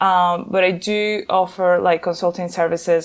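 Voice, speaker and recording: With a Venezuelan accent, a woman speaks at a moderate pace in a medium pitch, her intonation fairly even. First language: Spanish. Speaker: nonprofit founder and gender equality consultant. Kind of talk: interview. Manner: hesitant, many fillers and repeats.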